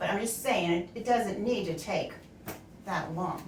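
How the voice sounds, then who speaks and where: A woman talks at a fairly quick pace, at medium pitch with ordinary pitch variation. Noticeable background noise and audible room echo fill the recording. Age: 60s. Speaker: streamer's mother, co-host. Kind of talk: casual chat.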